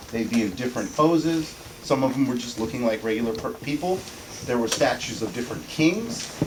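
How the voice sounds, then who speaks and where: A man's medium-pitched voice at a fairly quick pace, with ordinary pitch variation, noticeable background noise and audible room echo. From US, Indian family. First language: Tamil. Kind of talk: class presentation. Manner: halting.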